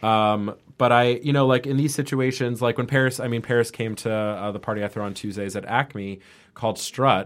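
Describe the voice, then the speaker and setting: A man's unremarkable speaking voice at a medium pitch, fairly quick and fairly even in intonation, on a very clean recording with a silent background. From New York (Manhattan, Westchester). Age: 30s. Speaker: party promoter. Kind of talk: casual chat. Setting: studio.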